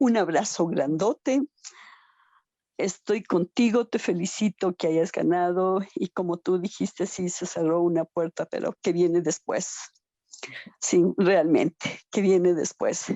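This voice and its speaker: This woman's voice sits fairly low, with ordinary pitch variation. She speaks at a very slow pace. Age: 60s. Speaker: participant in survivor support talk. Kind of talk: emotional audience comment in video meeting.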